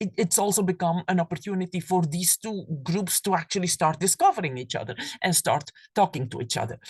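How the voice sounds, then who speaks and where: In a somewhat breathy voice with a Flemish Belgian accent, a woman speaks over a quiet background, the sound dry and close with no echo. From Belgium (Flanders). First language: Flemish (Dutch). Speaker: professor. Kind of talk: lecture. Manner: halting, with fillers and repetitions.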